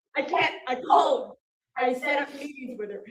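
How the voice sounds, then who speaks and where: A woman talks at a fairly slow pace with ordinary pitch variation. Room echo is audible. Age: 70s. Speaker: resident in dispute with city. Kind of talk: heated argument. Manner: emotional, agitated.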